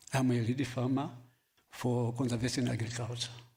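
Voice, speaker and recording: A man talks at a medium pitch. Audible room echo is present. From Namibia, Kavango East. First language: local Namibian language. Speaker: farmer. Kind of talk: workshop panel talk. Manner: halting, many fillers.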